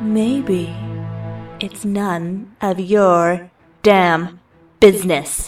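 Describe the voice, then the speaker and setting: A slow, playful put-on character voice, female-sounding and medium in pitch, with long, frequent pauses and faint music in the background. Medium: audio drama. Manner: playful, sultry, evasive.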